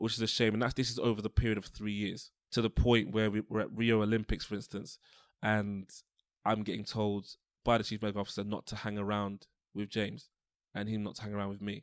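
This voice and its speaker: A fairly low-pitched man with a London accent, very fast and monotone, flat in intonation, in a dry, close sound with no echo on a very clean recording with a silent background. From London (Tottenham). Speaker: osteopath. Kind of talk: interview.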